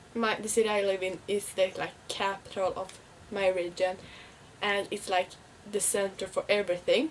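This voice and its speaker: A woman with a Swedish accent, medium pitch, fairly even intonation and a moderate pace. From Sweden. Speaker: vlogger. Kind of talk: casual vlog talk. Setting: at home, window open. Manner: halting.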